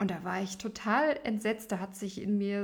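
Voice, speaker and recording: A woman's voice, pitched in the middle of her range, comes out somewhat breathy. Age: 30s. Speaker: opera singer and podcast host. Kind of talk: solo podcast monologue.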